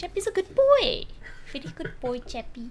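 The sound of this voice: A put-on character voice at an extremely high pitch, delivered at a moderate pace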